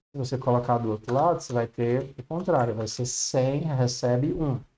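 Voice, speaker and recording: With a dark, mellow tone and medium pitch, a man speaks at a fairly slow pace with ordinary pitch variation. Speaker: programming teacher. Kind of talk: online class.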